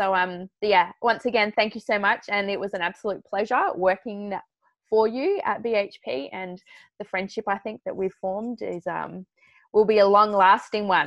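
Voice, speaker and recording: Here is a woman with an unremarkable speaking voice and a medium pitch. She keeps a moderate pace and fairly even intonation. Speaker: podcast co-host. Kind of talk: casual interview.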